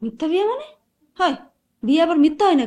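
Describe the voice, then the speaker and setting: A woman's put-on character voice, squeaky and extremely high, with very wide pitch swings at a moderate pace. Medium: short film.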